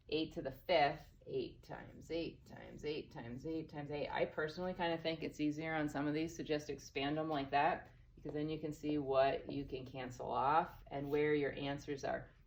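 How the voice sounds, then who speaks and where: A woman speaks with a very deep, low pitch and monotone, flat intonation. Room echo can be heard. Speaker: math teacher. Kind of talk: recorded lesson. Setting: empty classroom. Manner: fast; casual.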